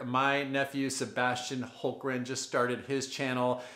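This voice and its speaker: Against a quiet background with audible room echo, a man speaks at a moderate pace. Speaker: home repair how-to host. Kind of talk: tutorial. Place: bathroom.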